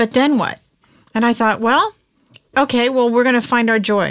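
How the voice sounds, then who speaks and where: This woman has an American accent and a fairly high pitch. She talks at a moderate pace with ordinary pitch variation. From California. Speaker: author and entrepreneur. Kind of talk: interview.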